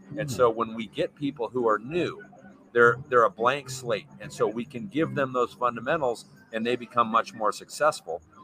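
Noticeable background noise accompanies a man speaking at a moderate pace, his medium pitch showing ordinary variation. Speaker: mountain bike coach and former pro rider. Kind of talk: casual interview chat. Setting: live stream with chat.

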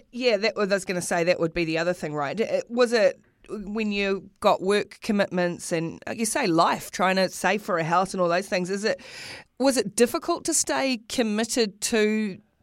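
In a New Zealand accent, a woman speaks at a moderate pace and medium pitch with lively intonation, on a very clean recording with a silent background. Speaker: sports podcast host. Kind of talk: interview. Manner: repeats words, chatty.

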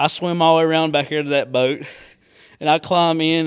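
On a very clean recording with a silent background, a man with a Southern US accent speaks at a fairly high pitch in a monotone, flat intonation. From US South. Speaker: hunter and angler. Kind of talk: casual chat.

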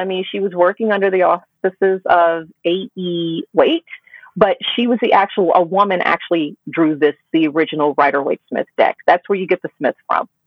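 With an American accent and an unremarkable speaking voice, this speaker moves at a moderate pace with ordinary pitch variation and hardly any pauses. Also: woman. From US South. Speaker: tarot reader and writer. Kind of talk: interview conversation.

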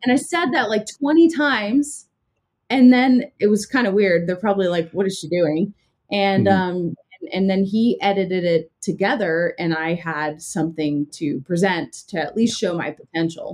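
With an American accent, a woman speaks at a moderate pace in a plain, everyday voice, her medium pitch shaped by lively intonation. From Southern California. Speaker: YouTuber and former TV anchor. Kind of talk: casual interview.

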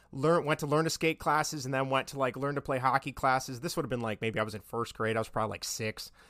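Speaking at a very fast pace with hardly any pauses, a man with an American accent uses a bright, sharp tone and ordinary pitch variation in a dry, close sound with no echo. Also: medium pitch for a man, very clean recording, silent background. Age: 30s. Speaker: podcast host, guest. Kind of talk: casual chat.

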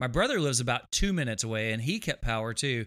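A man with a Texan accent, a bright, sharp tone, and lively intonation. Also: very clean recording, silent background. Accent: Texan drawl. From Texas. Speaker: guitarist. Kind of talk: casual chat.

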